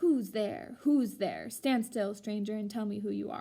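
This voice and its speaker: A woman puts on a growling character voice, fairly high-pitched and at a moderate pace. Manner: threatening, demanding.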